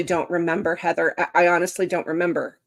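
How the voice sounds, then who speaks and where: A woman at medium pitch, speaking at a fairly quick pace. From Canada, rural upbringing. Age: 50s. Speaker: author and live-stream host. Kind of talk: casual live chat. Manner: animated, conversational with fillers.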